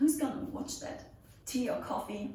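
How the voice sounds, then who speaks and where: A woman speaks at a fairly slow pace. There is audible room echo and noticeable background noise. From Germany, near Nuremberg. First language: German. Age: 20s. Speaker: pole dance instructor. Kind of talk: Q&A video, casual chat. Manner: casual, with fillers.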